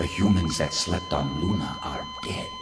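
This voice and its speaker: Over loud background noise, a man uses a cartoonish character voice with a very deep, low pitch. He keeps a moderate pace. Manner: imperious, formal.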